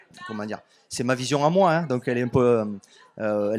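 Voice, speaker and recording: Very fast speech in a southern French accent. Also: man. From southern France, Béziers area. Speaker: author and music label owner. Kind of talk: radio interview. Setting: radio studio at festival.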